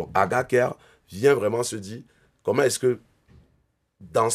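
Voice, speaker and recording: A man speaks at a moderate pace with ordinary pitch variation. The recording is very clean, with a silent background. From Cameroon. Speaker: entrepreneur. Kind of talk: interview.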